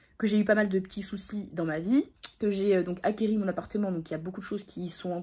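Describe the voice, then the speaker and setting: Her intonation fairly even, a woman talks in a dark, mellow tone. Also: very clean recording, silent background. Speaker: vlogger. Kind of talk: casual vlog talk to camera. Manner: fast.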